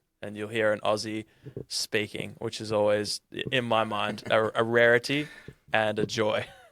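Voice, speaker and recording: With an Australian accent, a man delivers his words at a moderate pace in a monotone, flat intonation. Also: fairly low pitch for a man. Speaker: podcast host. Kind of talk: casual interview chat.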